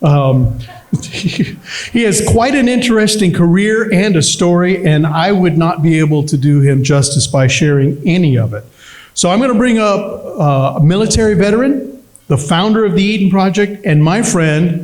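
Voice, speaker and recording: Loud and high-pitched, a man talks at a moderate pace with lively intonation, with audible room echo and noticeable background noise. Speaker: event emcee. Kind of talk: event hosting speech. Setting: fundraiser dinner with audience.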